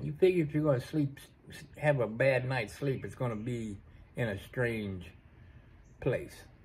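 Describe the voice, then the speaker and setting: At a fairly slow pace, a man speaks somewhat breathily, with long, frequent pauses. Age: 40s. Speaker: vlogger. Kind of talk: casual monologue. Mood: relaxed storytelling. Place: workshop. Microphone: phone near.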